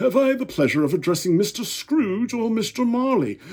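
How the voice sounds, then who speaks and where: A man uses a put-on character voice pitched high. He speaks at a moderate pace with lively intonation. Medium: read story. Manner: polite, formal.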